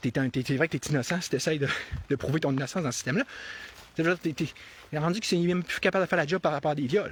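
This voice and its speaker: Talking very fast yet with long, frequent pauses, a man with a Quebec accent uses an animated tone, a fairly high pitch with ordinary variation, and a dry, close sound with no echo. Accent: Québécois French. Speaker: political commentator. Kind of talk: live-stream monologue. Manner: halting, many repetitions.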